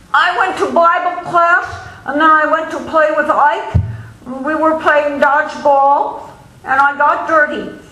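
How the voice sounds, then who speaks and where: Through noticeable background noise, a woman projects a raised, high-pitched voice at a very slow pace. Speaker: author. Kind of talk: novel reading.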